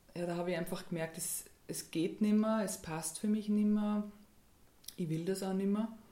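With audible room echo, a woman speaks at a moderate pace and medium pitch, using fairly even intonation and long, frequent pauses. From Austria, Graz (Styria). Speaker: dance and movement therapist. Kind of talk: radio interview. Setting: radio studio.

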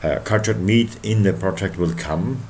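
Recorded with audible room echo, a man with a German accent talks at a moderate pace, his pitch fairly low and his intonation fairly even. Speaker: radio host. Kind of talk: interview.

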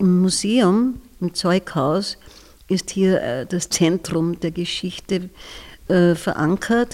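At a very slow pace, a woman with a fairly low pitch and a dark, mellow tone speaks with ordinary pitch variation in a very clean recording with a silent background. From Austria, southern Styria (Bad Radkersburg). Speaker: retired kindergarten teacher. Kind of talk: interview.

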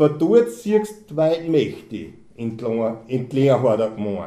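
A man's very slow voice, dark and mellow in tone, with very wide pitch swings. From Austria, Mühlviertel (Kollmberg). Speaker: dialect poet, car mechanic. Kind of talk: reading aloud.

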